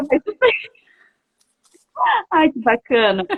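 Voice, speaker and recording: Her pitch high, a woman talks at a moderate pace. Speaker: live stream host, travel author. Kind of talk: casual chat. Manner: animated. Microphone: poor connection, cutting out.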